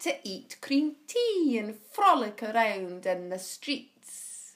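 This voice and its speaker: Speaking at a very slow pace, a woman's voice moves through very wide pitch swings. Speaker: actress. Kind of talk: spoken word poetry reading.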